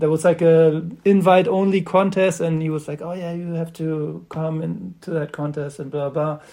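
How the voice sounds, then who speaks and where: Speaking with a German accent, a man uses a dark, mellow tone at a fairly high pitch, keeping a moderate pace with monotone, flat intonation and hardly any pauses. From Germany, Göttingen. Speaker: skateboarder and skatepark builder. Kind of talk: casual interview chat. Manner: halting, many fillers.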